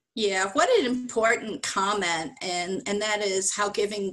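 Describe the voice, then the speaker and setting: A woman with a medium pitch talks at a fairly slow pace with ordinary pitch variation, over noticeable background noise. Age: 60s. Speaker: business executive and women's organization founder. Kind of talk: interview.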